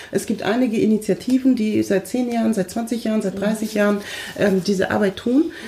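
A woman's fairly high voice with fairly even intonation at a fairly quick pace, over noticeable background noise. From Munich, Germany. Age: 30s. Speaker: diversity trainer. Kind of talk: casual discussion.

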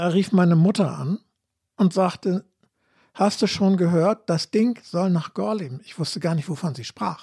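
A man's high-pitched voice with a dark, mellow tone, ordinary pitch variation and a moderate pace, dry and close with no echo, on a very clean recording with a silent background. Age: 70s. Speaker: anti-nuclear activist, trained teacher. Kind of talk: debate.

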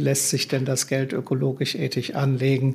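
A man's fairly high, somewhat breathy voice. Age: 70s. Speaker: green investment fund founder. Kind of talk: interview.

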